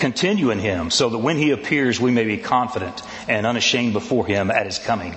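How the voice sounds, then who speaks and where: A man speaks at a fairly quick pace in a medium pitch, his tone animated and his intonation lively. Noticeable background noise and audible room echo fill the recording. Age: 60s. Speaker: pastor. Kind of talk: sermon.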